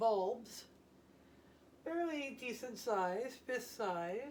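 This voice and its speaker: A woman speaks very slowly in an American accent, her tone relaxed. Room echo can be heard. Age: 70s. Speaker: retired homesteading vlogger. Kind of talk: casual how-to vlog narration. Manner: relaxed, unhurried with fillers.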